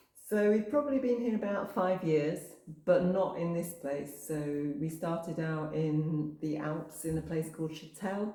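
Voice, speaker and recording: A woman with a northwest English accent, fairly low in pitch, at a fairly slow pace with ordinary pitch variation, amid noticeable background noise and audible room echo. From northwest England, coast near Manchester. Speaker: campsite owner. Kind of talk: casual interview.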